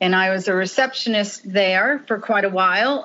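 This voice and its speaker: A woman with an American accent speaks in a normal speaking voice at a moderate pace. Her intonation stays fairly even. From Long Island, New York. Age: 60s. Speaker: marketing executive. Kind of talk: casual interview chat.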